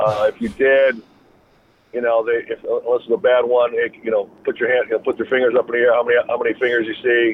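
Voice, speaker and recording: At a very fast pace, a man speaks with an Upper Midwest accent. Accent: Upper Midwest American. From Wisconsin. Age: 40s. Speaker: former NFL player and sports agent. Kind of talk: interview.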